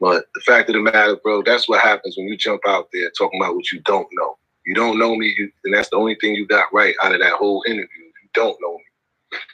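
Loudness swings widely as a man talks at a fairly quick pace with hardly any pauses, the sound dry and close without echo. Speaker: documentary filmmaker. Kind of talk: casual interview.

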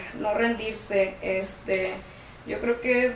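Audible room echo and noticeable background noise surround the voice. A woman speaks at a fairly high pitch with fairly even intonation. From Tijuana, Mexico. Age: 20s. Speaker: guest sharing personal experience with borderline. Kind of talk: testimony. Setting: studio.

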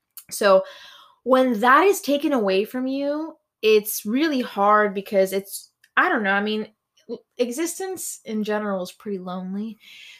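A plain, everyday voice: a woman with a fairly high pitch and lively intonation at a moderate pace. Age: 20s. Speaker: podcast co-host. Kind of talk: casual chat. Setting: home room.

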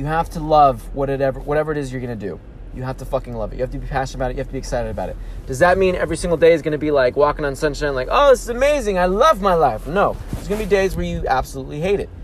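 Talking at a very fast pace, a man sounds animated. Background noise is noticeable. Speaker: motivational podcast host. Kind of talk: motivational monologue. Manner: animated, emphatic.

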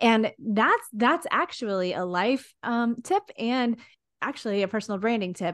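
An animated woman at a fairly slow pace, against a quiet background. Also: ordinary pitch variation. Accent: Texan. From Texas. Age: 40s. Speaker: social media content creator. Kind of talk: casual interview chat. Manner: animated, frequent laughter.

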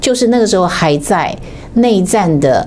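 Very wide pitch swings in a Taiwanese accent, with noticeable background noise and audible room echo. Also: woman. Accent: Taiwanese Mandarin. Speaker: political commentator. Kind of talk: political commentary livestream.

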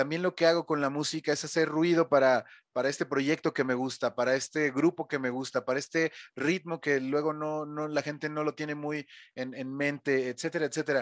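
On a very clean recording with a silent background and a dry, close sound free of echo, a man talks at a fairly quick pace in a flat monotone with a fairly high pitch. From Mexico City. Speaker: DJ and radio host. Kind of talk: casual interview.

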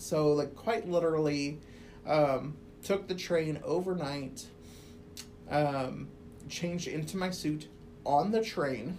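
Audible room echo frames a woman with a Midwestern US accent and a very deep, low pitch. She speaks at a very slow pace with ordinary pitch variation. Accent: US Midwest. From Quad Cities, Illinois side. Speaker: academic advisor. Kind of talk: casual interview.

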